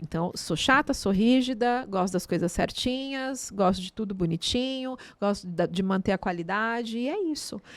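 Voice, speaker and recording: The recording is very clean, with a silent background. A woman talks at a moderate pace with lively intonation. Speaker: theatre and dance artist. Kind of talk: casual interview chat. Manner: animated.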